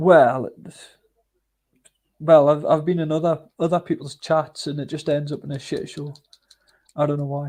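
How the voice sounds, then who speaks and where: Speaking in a Northumbrian accent at a moderate pace, a man with a fairly high pitch and a dark, mellow tone keeps a monotone, flat intonation, with long, frequent pauses and big swings in loudness. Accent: North Northumbrian, Berwick upon Tweed. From northern England, Northumberland near Berwick-upon-Tweed. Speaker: live stream host. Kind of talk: casual chat. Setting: livestream.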